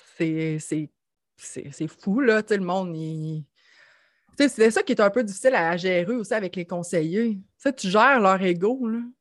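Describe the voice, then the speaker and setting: This woman speaks at a very slow pace with a Quebec accent and lively intonation. Her pitch is medium, and the recording is very clean with a silent background. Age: 30s. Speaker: financial services entrepreneur. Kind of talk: casual chat.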